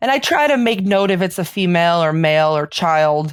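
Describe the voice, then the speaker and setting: With a strong Chicago accent, a woman speaks at a very deep, low pitch in a very clean recording with a silent background and a dry, close sound with no echo. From Chicago, South Side. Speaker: paranormal investigator and author. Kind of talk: podcast interview. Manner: casual, filler-heavy.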